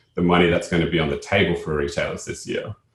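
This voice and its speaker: A somewhat breathy man with an Australian accent speaks with ordinary pitch variation. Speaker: company co-founder and CEO. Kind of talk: webinar presentation.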